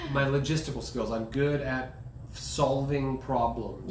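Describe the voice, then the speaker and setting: A man's monotone, flat delivery amid noticeable background noise. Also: medium pitch for a man, fairly slow pace. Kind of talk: casual conversation.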